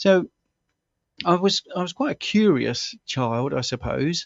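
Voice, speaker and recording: The speaker is a man. He talks with a southern English accent. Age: 60s. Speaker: health coach and former stuntman. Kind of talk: interview. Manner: halting.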